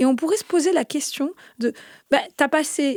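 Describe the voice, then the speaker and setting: The sound is dry and close, without any echo. A woman speaks at a fairly slow pace. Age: 30s. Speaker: podcast host. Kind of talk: interview.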